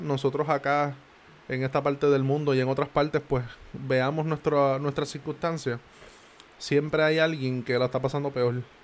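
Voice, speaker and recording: Fairly high in pitch, a man speaks at a fairly slow pace with flat, monotone intonation. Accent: Puerto Rican. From Puerto Rico. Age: 20s. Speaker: podcaster. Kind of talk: motivational monologue. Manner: casual, conversational.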